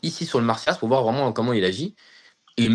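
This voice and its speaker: Against a quiet background, a man of medium pitch speaks with lively intonation. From France, Seine-Saint-Denis (Paris suburbs). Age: 20s. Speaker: aerospace engineer. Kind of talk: interview testimony. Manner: hesitant, many fillers and repetitions; enthusiastic.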